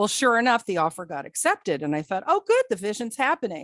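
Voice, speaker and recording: A woman with an American accent, dry and close with no echo, against a quiet background. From New Jersey. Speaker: psychic. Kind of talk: guest talk on a video call.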